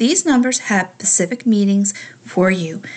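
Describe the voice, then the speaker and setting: A woman talks at a moderate pace in a calm, soothing tone. Her voice is somewhat breathy, and the background is quiet. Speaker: spiritual radio host. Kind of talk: talk show with guided meditation.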